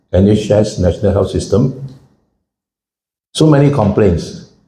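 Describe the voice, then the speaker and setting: A man's dark, mellow, somewhat breathy voice with lively intonation at a fairly slow pace, with audible room echo. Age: 70s. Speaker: financial commentator and speaker. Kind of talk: public talk. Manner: conversational, engages audience.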